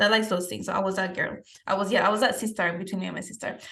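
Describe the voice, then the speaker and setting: Audible room echo surrounds a woman speaking very fast at a medium pitch. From Peru. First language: Spanish. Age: 20s. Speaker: fitness coach and podcast host. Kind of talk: podcast interview, answering questions about her life.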